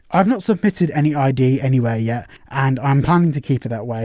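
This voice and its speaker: Speaking at a very fast pace, a man with a British accent uses a fairly high pitch with ordinary variation. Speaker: tech news YouTuber. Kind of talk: online video commentary.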